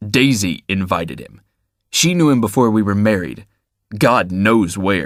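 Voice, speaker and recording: A man's put-on character voice, fairly low in pitch with lively intonation, on a very clean recording with a silent background. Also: moderate pace. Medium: read story. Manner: rough, sharp, unpleasant.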